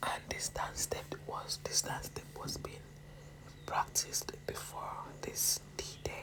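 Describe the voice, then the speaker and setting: A woman is whispering at a very slow pace. Noticeable background noise can be heard. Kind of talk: casual talk to camera recounting a pageant experience.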